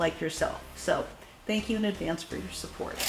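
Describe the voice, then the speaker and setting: A woman's lively intonation amid noticeable background noise and audible room echo. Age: 60s. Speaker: shoe reviewer. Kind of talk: product review. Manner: animated.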